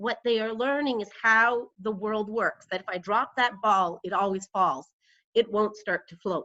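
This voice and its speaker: A woman with a fairly high voice and a bright, sharp tone speaks fairly slowly, with ordinary pitch variation and big swings in loudness. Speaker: lecturer. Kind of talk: lecture. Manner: quiet.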